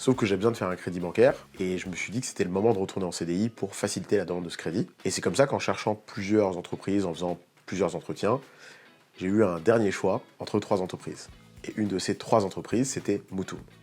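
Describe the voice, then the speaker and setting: Over music in the background, a man with a fairly low voice speaks very fast with fairly even intonation. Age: 30s. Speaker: developer and startup co-founder. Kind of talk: documentary interview.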